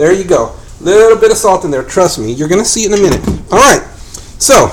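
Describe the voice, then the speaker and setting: Amid noticeable background noise, a man with a high voice talks at a very fast pace, his tone animated and his intonation lively. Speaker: home cook hosting a cooking show. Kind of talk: live cooking tutorial. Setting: home kitchen, live stream.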